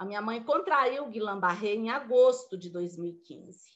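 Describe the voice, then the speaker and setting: This woman speaks at a fairly slow pace. Her intonation is lively. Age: 60s. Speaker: motivational speaker. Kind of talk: motivational talk. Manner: informal, conversational.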